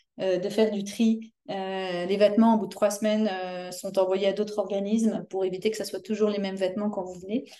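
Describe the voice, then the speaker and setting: A woman's medium-pitched voice with a dark, mellow tone, monotone, flat intonation and a moderate pace. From France. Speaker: community volunteer organizer. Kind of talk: interview. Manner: hesitant, many fillers.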